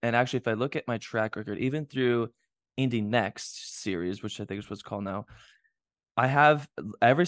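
Speaking at a fairly quick pace with an American accent, a man uses a medium pitch, ordinary pitch variation and an animated tone against a quiet background. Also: dry, close sound with no echo. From US Midwest, Chicago. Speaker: IndyCar racing driver. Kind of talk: casual chat. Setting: podcast recording. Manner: speeds up when on the spot; animated, laughing often.

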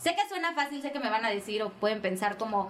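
Noticeable background noise surrounds the recording. A woman speaks very fast with lively intonation. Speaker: office worker and social media creator. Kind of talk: casual interview chat.

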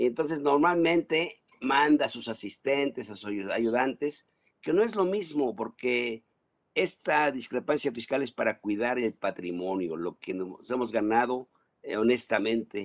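A man speaks at a medium pitch with lively intonation in an unremarkable speaking voice. The sound is dry and close, with no echo. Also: fairly slow pace. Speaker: tax accountant. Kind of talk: casual chat.

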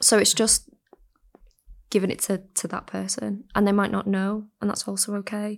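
A soft-spoken voice with a British accent talks at a moderate pace in a flat monotone, leaving long, frequent pauses. The recording is very clean, with a silent background. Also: woman, medium pitch for a woman. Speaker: counsellor. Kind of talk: interview, calm conversation. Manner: calm, soft-spoken, counselling tone.

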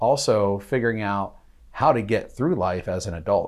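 With an American accent, a man speaks at a moderate pace and a fairly low pitch in a very clean recording with a silent background. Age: 40s. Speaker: podcast host, insurance advisor. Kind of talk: personal storytelling and advice. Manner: halting, many fillers and repetitions.

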